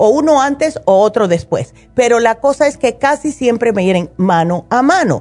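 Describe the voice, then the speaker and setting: A woman sounds animated, her fairly high voice ranging through very wide pitch swings. She keeps a moderate pace with hardly any pauses. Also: very even loudness. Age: 60s. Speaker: naturopath radio host. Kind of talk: call-in health advice show.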